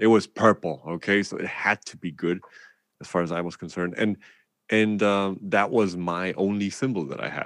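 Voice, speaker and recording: A man with a German accent speaks at a very deep, low pitch and a fairly quick pace, with ordinary pitch variation. The background is quiet. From Germany. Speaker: drummer and music educator. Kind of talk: casual interview. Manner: animated.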